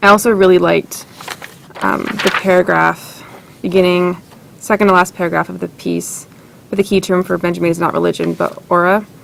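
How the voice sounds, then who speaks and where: A woman talks at a fairly quick pace but leaves long, frequent pauses. Noticeable background noise runs underneath. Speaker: writing workshop participant. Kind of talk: workshop feedback discussion. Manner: fast; hesitant, with fillers.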